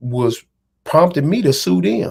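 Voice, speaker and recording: Speaking in a Dallas accent, a man talks at a medium pitch and moderate pace. The recording is very clean, with a silent background. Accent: Southern Dallas. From Texas, Dallas. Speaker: amateur boxer and internet personality. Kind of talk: interview storytelling. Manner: animated.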